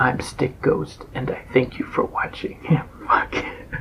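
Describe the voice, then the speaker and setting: A man speaks in a put-on character voice that sounds raspy. His pace is fairly slow, with light background noise. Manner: creepy.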